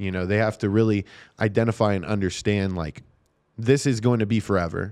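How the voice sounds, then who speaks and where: A man with a normal speaking voice and a fairly low pitch talks at a moderate pace with ordinary pitch variation against a quiet background. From Nevada, US. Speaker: special education teacher and sports announcer. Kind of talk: casual interview chat. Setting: studio.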